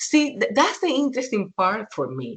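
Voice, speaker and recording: Someone with a Spanish accent speaks at a moderate pace with very wide pitch swings. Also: woman. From Venezuela. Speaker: documentary filmmaker. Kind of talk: interview.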